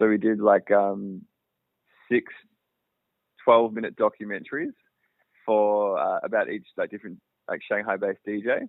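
There is an Australian accent as a man talks at a moderate pace. He takes long, frequent pauses. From Australia, outside Melbourne. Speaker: filmmaker and cinematographer. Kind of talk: interview. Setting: phone call.

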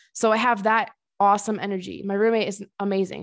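A woman's medium-pitched voice is captured in a very clean recording with a silent background. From Connecticut. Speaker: podcast host, fitness competitor. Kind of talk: casual monologue. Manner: animated.

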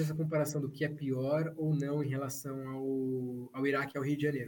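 A man speaks at a fairly high pitch in a somewhat breathy voice. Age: 30s. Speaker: journalist. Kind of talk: casual chat.

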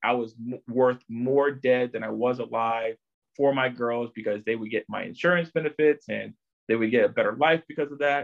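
This man has a medium pitch and speaks at a moderate pace with ordinary pitch variation. It is an unremarkable speaking voice. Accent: American. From Chesapeake, Virginia, US. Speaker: podcast guest, co-worker of host. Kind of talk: personal testimony.

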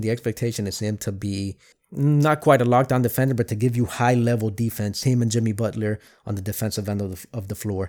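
Captured in a very clean recording with a silent background and a dry, close sound with no echo, a man with an American accent talks at a fairly quick pace with ordinary pitch variation. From Miami, Florida. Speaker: sports podcast host. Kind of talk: solo sports commentary podcast. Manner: casual, hesitant with fillers.

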